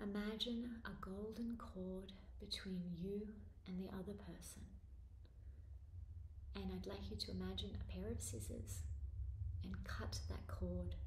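Speaking at a fairly slow pace with long, frequent pauses, a woman is heard over light background noise and audible room echo. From Australia. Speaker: spiritual author and meditation teacher. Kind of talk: guided meditation. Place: home room. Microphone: phone near.

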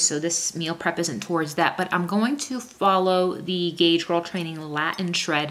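Fairly bright tone with ordinary pitch variation. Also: woman.

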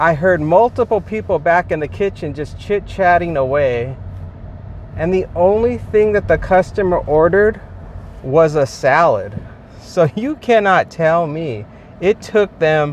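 Light background noise surrounds a man's high pitch and lively intonation at a fairly slow pace, in a dry sound with no echo. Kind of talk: casual vlog chat. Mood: frustrated, complaining. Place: car. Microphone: phone near.

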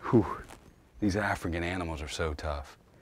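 A man speaks with a very deep, low pitch and a somewhat breathy voice. The sound is dry, with no echo. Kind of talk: hunt recap talk to camera. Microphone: camera far.

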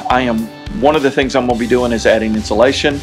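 Clear music plays in the background as a man talks with ordinary pitch variation. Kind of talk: casual vlog chat. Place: home room. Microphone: phone near.

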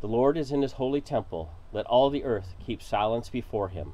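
The voice has a dark, mellow tone. It moves at a moderate pace. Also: man. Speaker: lay worship leader. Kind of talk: morning prayer service, liturgical reading and responses. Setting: outdoors at a lakeside home, with insects and birds audible. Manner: formal, measured, reverent liturgical delivery. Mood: calm, reverent. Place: waterside. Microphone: camera far.

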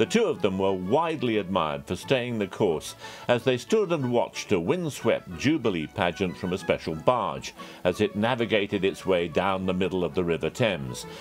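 Over background music, a man with a fairly low pitch speaks at a moderate pace with lively intonation. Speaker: news contributor. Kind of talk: news commentary segment.

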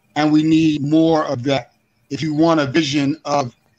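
A man speaks at a fairly slow pace with a fairly high pitch and fairly even intonation. Faint music plays in the background. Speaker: activist. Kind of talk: interview. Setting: video call. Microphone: video call.

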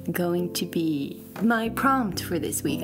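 Clear background music alongside a woman speaking. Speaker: vlogger. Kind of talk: casual vlog chat. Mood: soft, warm, reflective. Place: home room. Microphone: phone near.

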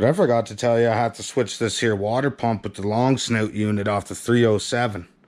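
Over a quiet background, a man speaks at a fairly quick pace. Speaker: home mechanic vlogger. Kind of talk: casual vlog chat. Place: garage. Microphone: phone near.

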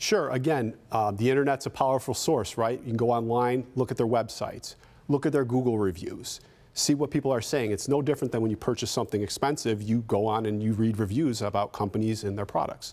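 A very fast man's voice with very even loudness and ordinary pitch variation. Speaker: guest. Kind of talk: interview answer. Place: studio.

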